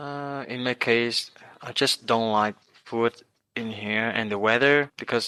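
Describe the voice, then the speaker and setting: A man's medium-pitched, bright, sharp voice with a Vietnamese accent and fairly even intonation, dry and close with no echo. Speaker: international student. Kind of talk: interview. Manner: halting.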